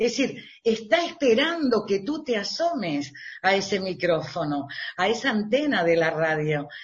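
A woman's pitch swings very widely. Her voice is somewhat breathy. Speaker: radio presenter. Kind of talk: interview.

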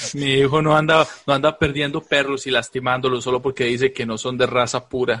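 In a Costa Rican accent, a man talks at a medium pitch and a fairly quick pace with hardly any pauses. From Costa Rica, Alajuela. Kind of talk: casual comedic chat, live-streamed. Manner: animated.

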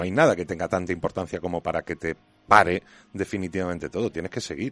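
A man speaks at a very deep, low pitch against a quiet background. The sound is dry and close with no echo. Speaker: TV series and games critic. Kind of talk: casual panel chat.

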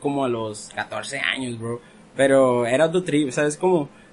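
Over noticeable background noise, a man talks fairly slowly with ordinary pitch variation. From Ensenada, Baja California, Mexico. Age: 20s. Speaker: rapper. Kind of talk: casual chat. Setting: studio.

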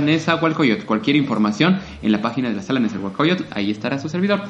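A man with a Mexican accent at a fairly high pitch, very fast pace and very wide pitch swings, amid noticeable background noise and audible room echo. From Mexico, Puebla. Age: 30s. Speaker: opera singer. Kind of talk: interview. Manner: halting.

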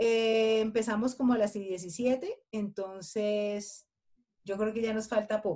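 A woman's fairly high, dark, mellow voice at a very slow pace with fairly even intonation. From Colombia. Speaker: podcast co-host. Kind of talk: casual chat.

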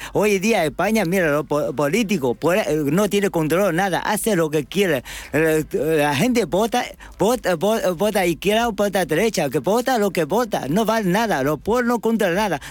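Speaking with a Chinese accent, a man holds a high pitch and very even loudness throughout. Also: lively intonation, moderate pace. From China. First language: Chinese (speaking Spanish). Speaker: restaurant manager. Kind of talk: panel interview. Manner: halting.

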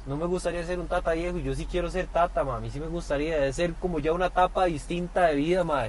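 The speech runs at a very fast pace with hardly any pauses. The intonation is monotone and flat. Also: man, high pitch for a man. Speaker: podcast co-host. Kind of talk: casual chat. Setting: parked car.

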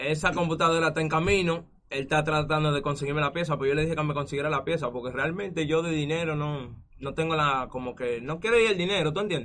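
Pitched fairly high, a man talks at a very fast pace. His pitch varies in an ordinary way. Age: 20s. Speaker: esports gamer. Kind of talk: casual interview.

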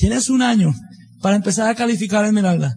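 The speaker is a man. The rise and fall of his pitch is ordinary. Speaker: business motivational speaker. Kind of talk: motivational talk.

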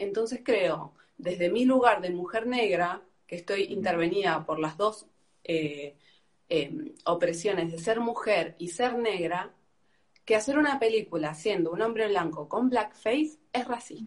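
A woman talks at a fairly slow pace in an unremarkable speaking voice. Her medium pitch carries lively intonation. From Argentina. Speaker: activist debating the host. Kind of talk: heated debate.

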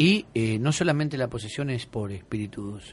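A man's somewhat breathy voice moves in very wide pitch swings. The background is quiet. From Argentina, Buenos Aires. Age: 50s. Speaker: exorcist bishop. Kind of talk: radio interview. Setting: radio studio.

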